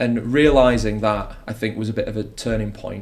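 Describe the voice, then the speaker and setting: A man's medium-pitched voice, somewhat breathy, shows ordinary variation in pitch. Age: 30s. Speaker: wedding magician. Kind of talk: podcast interview. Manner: fast; energetic.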